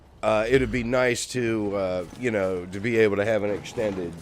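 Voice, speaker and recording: A man speaks at a fairly slow pace. Noticeable background noise and audible room echo surround his voice. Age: 50s. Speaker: streamer and musician. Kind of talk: casual gaming livestream chat. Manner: casual, full of filler words.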